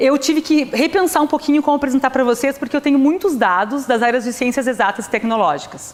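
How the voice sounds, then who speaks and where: High-pitched female speech with lively intonation at a fairly quick pace, over noticeable background noise. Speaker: physics professor. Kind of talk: lecture. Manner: fast.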